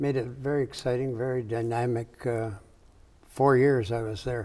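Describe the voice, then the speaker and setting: A man with an American accent, medium pitch, and a dark, mellow tone, speaking in a flat monotone at a moderate pace. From US Midwest, Michigan. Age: 80s+. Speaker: architect. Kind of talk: interview.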